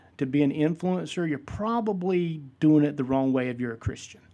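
A man with a Southern US accent has a fairly high pitch and a dark, mellow tone. His intonation is lively, and the background is quiet. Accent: Southern US (Georgia). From US South, South Georgia (Vidalia). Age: 50s. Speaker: pastor and podcast host. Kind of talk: solo podcast monologue, casual teaching.

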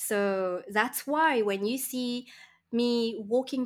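The speech comes at a very slow pace with ordinary pitch variation. The recording is very clean, with a silent background. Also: woman. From Mauritius. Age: 40s. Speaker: online business coach. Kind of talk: casual interview.

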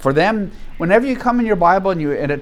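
A man talks with lively intonation. Room echo is audible. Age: 70s. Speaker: Bible study teacher. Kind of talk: Bible study lecture.

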